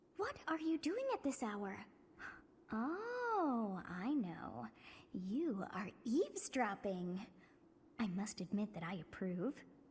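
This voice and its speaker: In a put-on character voice, a female-sounding speaker goes at a fairly slow pace with fairly high pitch and long, frequent pauses. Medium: video game. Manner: playful, imperious.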